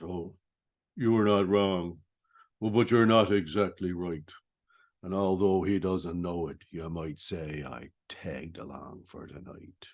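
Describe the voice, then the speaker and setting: Against a quiet background, a man uses a put-on character voice with very deep, low pitch at a fairly slow pace. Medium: solo performance. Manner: sly, smirking.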